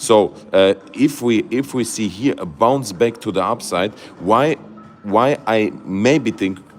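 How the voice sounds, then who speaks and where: The speaker goes at a very slow pace. Music plays in the background. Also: man. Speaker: crypto YouTuber. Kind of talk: livestream market analysis. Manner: halting, many fillers and restarts; animated.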